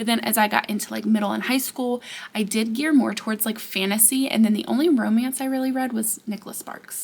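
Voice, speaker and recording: Amid noticeable background noise, a woman with a fairly high pitch talks in an animated tone at a very fast pace. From US South, Georgia. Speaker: book content creator. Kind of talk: casual chat. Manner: loud when excited.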